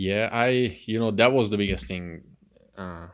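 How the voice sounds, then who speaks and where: Someone speaks at a moderate pace with a Hungarian accent and ordinary pitch variation. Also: man. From Hungary. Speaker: car salesman. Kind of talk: podcast interview.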